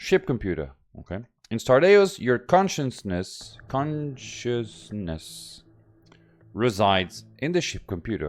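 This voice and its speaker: The recording is very clean, with a silent background. A man speaks at a very slow pace with very wide pitch swings. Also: medium pitch for a man. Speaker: gaming YouTuber. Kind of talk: gameplay commentary. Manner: halting, stuttering; reads tutorial text aloud.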